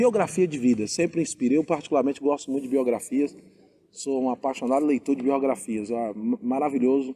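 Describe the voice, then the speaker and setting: This man's voice is fairly high, with a dark, mellow tone. He speaks fairly quickly and his pitch varies in an ordinary way. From Bahia, Brazil. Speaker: pastor and interviewer. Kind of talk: interview. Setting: outdoors in a town square.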